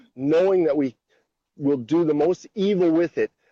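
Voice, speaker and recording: With a dark, mellow tone and a fairly high pitch, a man speaks in a dry, close sound with no echo. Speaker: co-host of a talk stream. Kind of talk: casual debate. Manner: animated.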